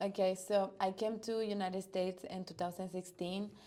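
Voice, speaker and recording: Speaking at a fairly slow pace, a woman with a Spanish accent has a dark, mellow tone and monotone, flat intonation. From Dominican Republic. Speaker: volleyball coach. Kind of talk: interview.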